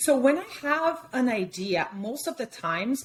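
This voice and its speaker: In a Brazilian Portuguese accent, a woman speaks at a fairly slow pace with very wide pitch swings. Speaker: fine art photographer. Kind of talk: interview. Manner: hesitant, with many fillers.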